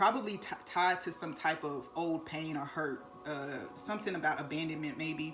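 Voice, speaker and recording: A woman with a fairly low pitch talks in a room with audible echo and noticeable background noise. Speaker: tarot card reader. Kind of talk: tarot reading to camera. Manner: fast.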